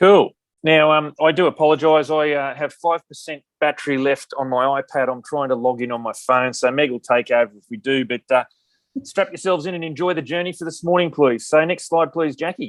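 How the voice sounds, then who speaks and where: A man with an Australian accent and a fairly high pitch, talking at a fairly quick pace in a dry, close sound with no echo. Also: ordinary pitch variation. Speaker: veterans employment program manager, army veteran. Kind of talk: conference presentation. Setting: video call. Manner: loud; fast.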